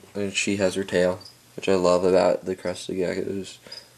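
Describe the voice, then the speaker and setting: A man talks at a moderate pace in a very deep, low voice with monotone, flat intonation. Noticeable background noise runs behind him. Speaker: reptile hobbyist vlogger. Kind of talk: casual video update. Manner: hesitant, many filler sounds.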